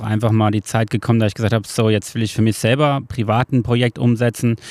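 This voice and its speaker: The voice is flat and monotone, with a dry, close sound, no echo, and a very clean recording with a silent background. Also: man. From Hesse, Germany (Marburg). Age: 30s. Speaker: carpenter. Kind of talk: casual interview. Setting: outdoors on a wooden terrace. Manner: hesitant, many filler sounds.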